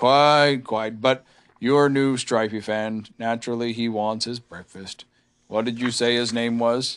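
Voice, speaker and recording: Using a put-on character voice, a man drawls at a medium pitch. His pace is fairly slow. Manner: gloomy, drawling, sarcastic.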